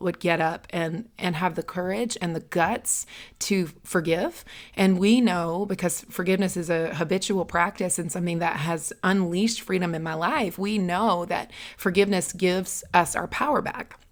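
At a moderate pace, a woman with a plain, everyday voice speaks at a medium pitch with fairly even intonation, in a very clean recording with a silent background. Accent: American. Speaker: podcast host. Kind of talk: casual chat.

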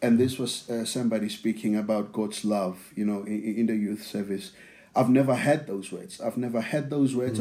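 Speaking in a South African accent, a man with a medium pitch has a dark, mellow tone and fairly even intonation. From South Africa (township near Pretoria). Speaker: church member sharing testimony. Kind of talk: testimony. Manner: repeats words, halting.

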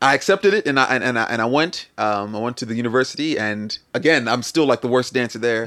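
A man with a Philadelphia accent, medium-pitched, bright and sharp in tone, with lively intonation at a fairly quick pace, in a very clean recording with a silent background. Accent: US East Coast (Philadelphia area). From Camden, New Jersey (US), Nigerian parents. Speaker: musician and dancer. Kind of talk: casual interview.

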